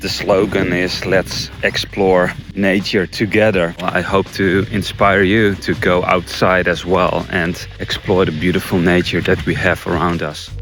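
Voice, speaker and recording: Over noticeable background noise, a man with a Dutch accent and a very deep, low pitch speaks at a fairly slow pace with hardly any pauses and monotone, flat intonation. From Netherlands. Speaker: nature vlogger and bird photographer. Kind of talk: casual vlog.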